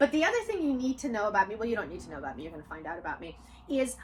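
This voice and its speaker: Her tone is animated, and this woman's high pitch swings very widely. Noticeable background noise sits behind her voice. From Odessa, Ukraine (USSR). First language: Russian. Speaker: author and channel host. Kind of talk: casual chat with her daughter.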